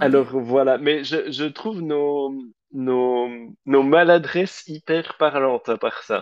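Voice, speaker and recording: Delivered at a very slow pace, the speech has fairly even intonation. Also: man, fairly high pitch for a man. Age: 30s. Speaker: drag queen podcast co-host. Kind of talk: casual chat.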